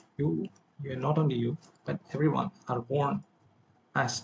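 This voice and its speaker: Vocal fry runs through the speech. Pitch shifts by an ordinary amount. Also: man. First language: not English. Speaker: self-improvement vlogger. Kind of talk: personal vlog monologue. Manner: halting, with self-corrections.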